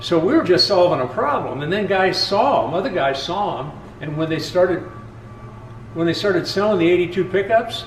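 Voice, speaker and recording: With audible room echo and noticeable background noise, a man with a high pitch talks at a fairly quick pace with ordinary pitch variation. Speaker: company founder and engine builder. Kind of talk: facility tour conversation.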